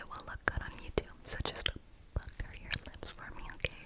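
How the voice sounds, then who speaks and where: Noticeable background noise runs through the clip. A woman whispers over it. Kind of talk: makeup roleplay ASMR. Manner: soft-spoken, whispery.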